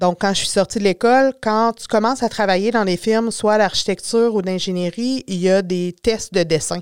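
In a very clean recording with a silent background and a dry, close sound with no echo, a woman with a normal speaking voice and medium pitch talks at a moderate pace with ordinary pitch variation. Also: hardly any pauses. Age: 40s. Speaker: drafting technician and communications business owner. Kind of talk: podcast interview.

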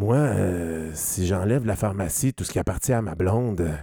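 A man with a dark, mellow tone and fairly low pitch, ordinary pitch variation and a fairly slow pace, on a very clean recording with a silent background. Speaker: returning podcast guest. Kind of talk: casual chat.

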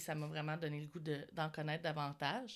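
In a very clean recording with a silent background, a woman speaks at a fairly slow pace in a very deep, low pitch. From Quebec. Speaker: podcast host. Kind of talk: interview.

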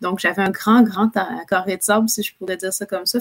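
A woman's medium-pitched, monotone voice, dry and close with no echo. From Quebec City. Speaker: public relations entrepreneur. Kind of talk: interview.

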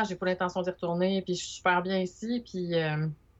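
A woman's medium-pitched voice with a Quebec accent. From Quebec, Montreal. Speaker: illustrator. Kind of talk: casual interview. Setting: video call.

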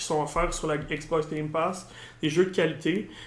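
Fairly slow, fairly even intonation in a room with audible echo. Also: man. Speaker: gaming podcast host. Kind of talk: casual chat.

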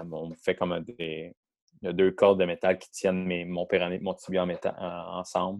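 A man with a Quebec accent speaks at a moderate pace in a very deep, low pitch, his intonation monotone and flat but his loudness swinging widely. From Quebec, south shore of Montreal. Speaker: professional football player. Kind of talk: interview.

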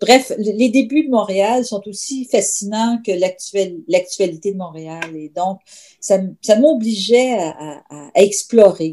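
A woman's dark, mellow tone with lively intonation. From Quebec City. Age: 50s. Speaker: novelist. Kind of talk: interview.

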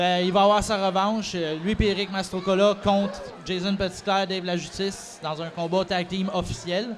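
Over noticeable background noise, a man with a Quebec accent speaks fairly slowly in a high, monotone, flat voice. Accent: Québécois French. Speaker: wrestling promoter. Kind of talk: casual chat. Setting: recording at a convention.

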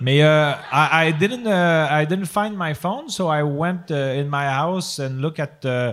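With a Quebec accent, the speaker goes at a fairly slow pace with lively intonation. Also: man. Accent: Québécois French accent in English. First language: French. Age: 40s. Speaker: podcast host. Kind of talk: live comedy podcast with improv. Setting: stage with audience. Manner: halting.

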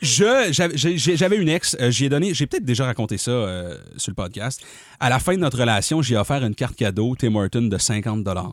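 In a Quebec accent, a man speaks at a moderate pace and medium pitch, his animated tone carried by very wide pitch swings on a very clean recording with a silent background. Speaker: comedy podcast host. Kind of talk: casual chat.

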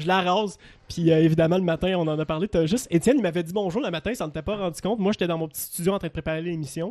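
The speaker talks in a Quebec accent with ordinary pitch variation. The background is quiet. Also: man. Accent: Québécois French. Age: 20s. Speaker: radio producer and operator. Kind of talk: casual chat.

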